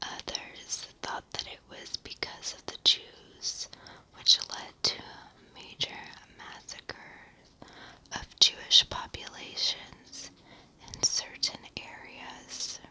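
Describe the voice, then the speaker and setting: Someone whispers at a very slow pace, with big swings in loudness. Noticeable background noise is present. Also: woman. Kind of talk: ASMR sleep history narration. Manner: whispered.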